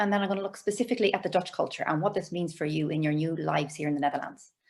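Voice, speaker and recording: A woman with an Irish accent, animated in tone, at a very fast pace. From Ireland. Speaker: cross-cultural communication trainer. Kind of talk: webinar presentation. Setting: video call.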